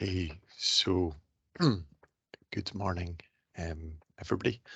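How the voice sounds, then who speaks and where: Speaking very slowly in a Scottish accent, a man with a very deep, low pitch keeps a fairly even intonation and a bright, sharp tone. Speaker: researcher. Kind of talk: scientific presentation.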